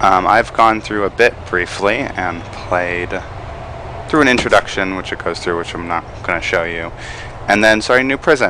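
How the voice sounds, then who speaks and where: With noticeable background noise behind him, a man speaks in a very deep, low pitch at a moderate pace, his pitch varying in an ordinary way. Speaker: gaming let's play host. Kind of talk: casual gameplay commentary.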